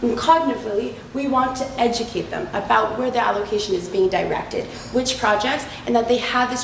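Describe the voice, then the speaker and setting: Speaking at a fairly quick pace, a woman is heard through audible room echo and noticeable background noise. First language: not French (French is second language). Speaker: business student in case competition. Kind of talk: case competition presentation.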